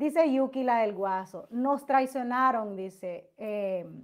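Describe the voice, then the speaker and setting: This woman speaks very slowly in a high voice with ordinary pitch variation. The background is quiet. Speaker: YouTube gossip commentator. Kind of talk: livestream chat with viewers. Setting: livestream. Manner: loud; animated. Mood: animated, sometimes indignant. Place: home room. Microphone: webcam.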